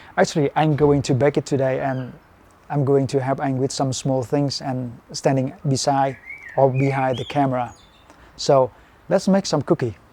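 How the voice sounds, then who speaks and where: At a moderate pace, a fairly high-pitched man talks with a Vietnamese accent. His intonation is fairly even, and background noise is noticeable. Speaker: fitness and cooking video creator. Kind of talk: cooking tutorial. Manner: simple, halting English with fillers.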